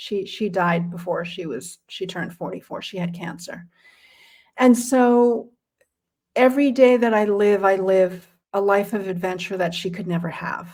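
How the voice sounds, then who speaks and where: A woman with a normal speaking voice talks at a moderate pace and medium pitch, with ordinary pitch variation and big swings in loudness. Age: 60s. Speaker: career coach and nonprofit fundraising strategist. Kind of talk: interview.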